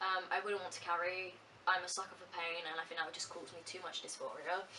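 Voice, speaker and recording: A woman with a medium pitch talks at a very fast pace in a monotone, flat way, her loudness swinging widely. Audible room echo and noticeable background noise fill the recording. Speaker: vlogger. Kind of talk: casual chat.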